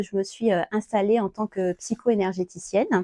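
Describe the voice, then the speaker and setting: In a dry, close sound with no echo, a woman talks with a dark, mellow tone. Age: 40s. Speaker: psycho-energy therapist. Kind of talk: self-presentation talk. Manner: hesitant, many fillers.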